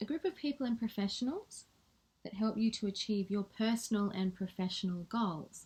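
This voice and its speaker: A soft-spoken woman with an Australian accent, somewhat breathy, dark and mellow in tone, at a moderate pace. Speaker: spiritual coach. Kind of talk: vlog talk to camera. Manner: reading from notes.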